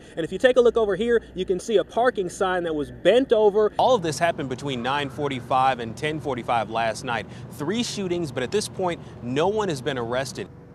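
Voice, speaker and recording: Over noticeable background noise, a man with a fairly high pitch talks at a fairly quick pace with very wide pitch swings. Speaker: TV news reporter. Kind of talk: live TV news field report. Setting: outdoors.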